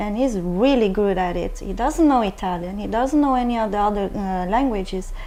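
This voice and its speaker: A woman speaks at a fairly quick pace with hardly any pauses, at medium pitch with ordinary pitch variation. There is audible room echo. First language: Norwegian. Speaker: talk show panel guest. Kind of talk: panel discussion. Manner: halting.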